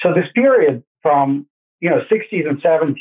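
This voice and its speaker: A man with a Russian accent speaks at a fairly high pitch. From Russia, Saint Petersburg. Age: 60s. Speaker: gold investment expert. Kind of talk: interview.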